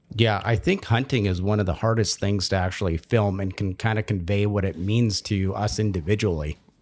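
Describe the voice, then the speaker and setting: Talking at a fairly quick pace with hardly any pauses, a man uses a plain, everyday voice with a fairly low pitch and fairly even intonation. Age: 30s. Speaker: podcast host. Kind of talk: casual chat.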